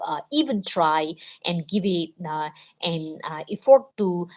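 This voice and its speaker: Talking at a fairly slow pace, a woman speaks with a non-native accent. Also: quiet background. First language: not English. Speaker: live streamer, motivational talk. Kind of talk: casual motivational livestream monologue. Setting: live stream. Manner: halting, many fillers (uh, you know).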